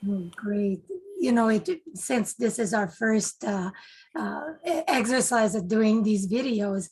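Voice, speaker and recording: A woman speaks with a French Canadian accent at fairly high pitch. Her pace is fairly slow and her intonation lively. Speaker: club public relations officer, interviewer. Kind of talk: casual interview. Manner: halting.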